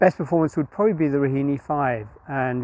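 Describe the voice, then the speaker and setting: Fairly even in intonation, a man talks at medium pitch and a very fast pace. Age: 60s. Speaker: masters club runner. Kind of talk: interview. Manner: hesitant, many fillers.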